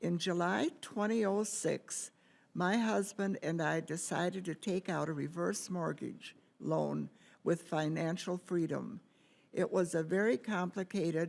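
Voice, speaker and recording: A woman with a fairly low pitch and vocal fry speaks at a very slow pace. The recording is very clean, with a silent background. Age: 80s+. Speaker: foreclosure victim giving testimony. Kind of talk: testimony. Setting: Senate forum, microphone. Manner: halting, some stumbles.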